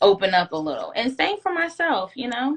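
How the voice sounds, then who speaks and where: This woman's tone is bright and sharp. Her pitch swings very widely at a moderate pace. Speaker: guest. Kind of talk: casual chat. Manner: soft-spoken.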